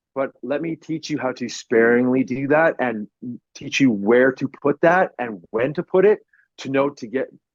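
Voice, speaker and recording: With an animated tone, a man of medium pitch speaks at a moderate pace with ordinary pitch variation, in a dry, close sound with no echo. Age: 40s. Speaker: professional wrestler. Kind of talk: casual chat.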